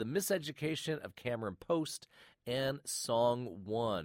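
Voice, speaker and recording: A man with a warm tone speaks at a very slow pace. The recording is very clean with a silent background and a dry, close sound with no echo. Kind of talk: relaxed radio-host show wrap-up, chatty sign-off patter leading into an archive clip. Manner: warm, conversational, friendly, with filler 'uh's and casual pacing.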